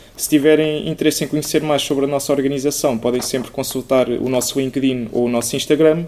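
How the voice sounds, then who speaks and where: With noticeable background noise behind him, a man talks very fast with hardly any pauses, at a fairly high pitch and with monotone, flat intonation. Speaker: student podcast host. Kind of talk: interview.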